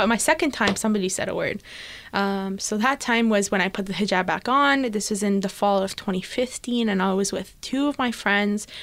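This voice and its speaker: With a Canadian accent, a woman uses an ordinary speaking voice at medium pitch and a moderate pace, with ordinary pitch variation, in a very clean recording with a silent background. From Canada, Etobicoke (Toronto). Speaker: writer and entrepreneur. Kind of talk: interview.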